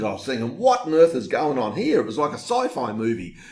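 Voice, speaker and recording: An animated man with an Australian accent and lively intonation, heard with audible room echo. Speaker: online marketer. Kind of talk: webinar sales pitch. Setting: home recording.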